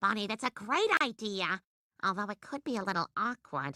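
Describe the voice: A woman's cartoonish character voice at medium pitch, with very wide pitch swings, a moderate pace, and a dry, close sound with no echo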